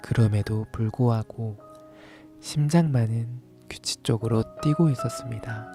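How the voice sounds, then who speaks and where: Over music in the background, a man with a medium-pitched voice speaks very slowly, with ordinary pitch variation. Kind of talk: ASMR bedtime story reading. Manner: soft-spoken, slow.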